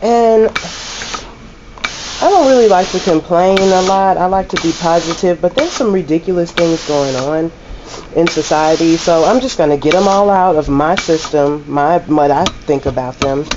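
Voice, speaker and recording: Noticeable background noise sits behind a woman with a fairly low pitch. Her loudness stays very even. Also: ordinary pitch variation, moderate pace. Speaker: laundromat owner and vlogger. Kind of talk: casual vlog monologue.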